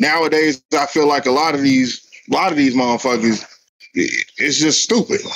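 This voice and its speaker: Fairly high-pitched, a man talks at a moderate pace in a normal speaking voice, with very even loudness and ordinary pitch variation. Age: 40s. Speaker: podcast host. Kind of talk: casual chat.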